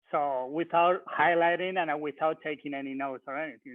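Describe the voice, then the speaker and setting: This man talks at a moderate pace with a non-native accent. His pitch is fairly high for a man and varies in an ordinary way. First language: not English. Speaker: recent bar exam taker. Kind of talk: webinar panel discussion. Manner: halting.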